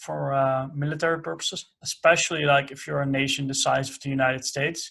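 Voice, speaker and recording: This man speaks with a Dutch accent at a fairly high pitch. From Netherlands. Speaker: podcast host. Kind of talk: interview. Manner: halting, many fillers.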